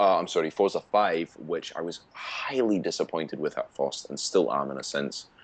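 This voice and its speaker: A man talks with hardly any pauses. Noticeable background noise runs behind him. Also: moderate pace. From Scotland. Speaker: gaming podcast co-host. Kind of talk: casual chat.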